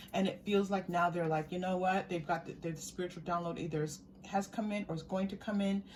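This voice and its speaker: At a fairly quick pace, a woman speaks with a fairly low pitch. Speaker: tarot card reader. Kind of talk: pick-a-card tarot reading. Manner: animated.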